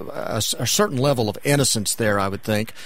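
A man's medium-pitched, normal speaking voice with ordinary pitch variation. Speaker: radio host. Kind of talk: interview.

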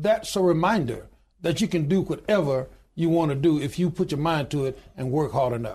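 His voice sits fairly high for a man. He talks with a Southern US accent. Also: ordinary pitch variation, moderate pace, quiet background. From US Deep South, Alabama. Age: 60s. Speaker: union president and pastor. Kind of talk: interview.

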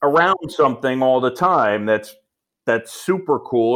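With an American accent, a man of medium pitch talks at a moderate pace using lively intonation. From New York, Roosevelt Island. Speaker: baseball play-by-play announcer. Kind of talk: interview. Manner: laid back.

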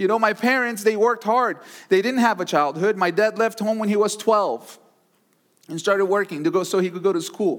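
A man's high-pitched voice at a fairly quick pace. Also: ordinary pitch variation, very clean recording, silent background. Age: 30s. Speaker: pastor. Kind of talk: sermon. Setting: church service with live audience.

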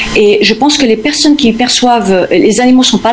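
There is audible room echo and noticeable background noise. A woman speaks at a moderate pace with ordinary pitch variation. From Spain (Formentera, Balearic Islands), born in the US. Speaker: animal communicator. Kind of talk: radio interview. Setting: remote call from the US. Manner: halting, many repetitions.

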